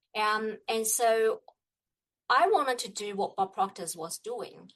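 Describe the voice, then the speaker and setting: With a Chinese accent, a woman speaks at a fairly slow pace in a fairly high pitch with ordinary pitch variation. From China. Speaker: business coach. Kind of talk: interview. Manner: halting.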